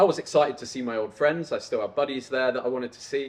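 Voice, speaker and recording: Speaking with an English accent, a man talks at a fairly quick pace and medium pitch. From England (Coventry, Peterborough). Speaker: YouTuber, entrepreneur. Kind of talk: personal storytelling monologue. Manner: casual.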